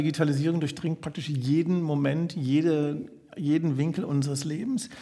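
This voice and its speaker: A man talks at a moderate pace in a normal speaking voice. His pitch sits fairly high, with ordinary variation. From Berlin (Charlottenburg). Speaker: podcast host. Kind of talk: interview. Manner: formal.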